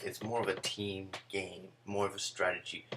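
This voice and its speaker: A soft-spoken man talks in a flat monotone with a fairly low pitch. His pace is fairly slow, and noticeable background noise is present. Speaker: video game reviewer. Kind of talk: game review. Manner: soft-spoken, speaking low. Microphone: too quiet.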